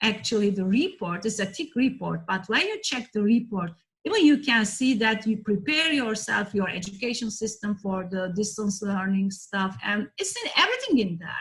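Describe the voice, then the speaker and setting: A woman with a Turkish accent, fairly high in pitch, at a moderate pace with hardly any pauses and ordinary pitch variation. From Turkey. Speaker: professor, heritage disaster risk expert. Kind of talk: online lecture presentation. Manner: halting, frequent fillers.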